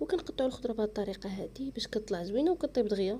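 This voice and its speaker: A woman at a very fast pace, fairly high in pitch, with lively intonation. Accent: Moroccan. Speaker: cooking channel host. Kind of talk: cooking tutorial.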